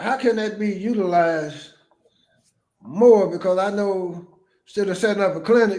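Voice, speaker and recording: Man's high-pitched voice at a moderate pace with fairly even intonation, long, frequent pauses and audible room echo. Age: 70s. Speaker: podcast host. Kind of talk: casual interview with reading aloud.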